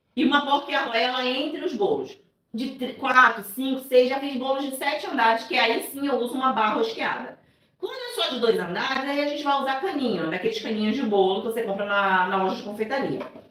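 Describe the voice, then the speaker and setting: Audible room echo carries a woman's high-pitched voice as she talks at a fairly quick pace with lively intonation. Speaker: cake decorator and baking teacher. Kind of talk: live tutorial. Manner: soft-spoken; casual, chatty.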